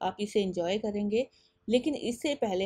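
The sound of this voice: Her tone is dark and mellow with a slightly husky edge. The woman speaks at a moderate pace.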